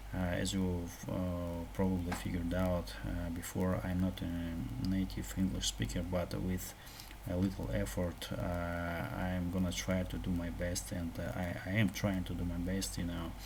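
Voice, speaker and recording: A man with a Russian accent speaks at a fairly slow pace, his pitch very deep and low. His intonation is lively, and audible room echo surrounds the voice. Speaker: programming tutorial youtuber. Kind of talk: tutorial. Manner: halting, many fillers and repetitions.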